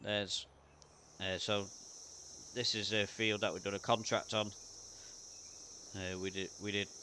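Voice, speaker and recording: In a British accent, a man with a fairly low pitch and a bright, sharp tone speaks at a moderate pace in a monotone, flat way, with long, frequent pauses. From UK. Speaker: gaming streamer. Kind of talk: live gameplay commentary. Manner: casual, hesitant with fillers.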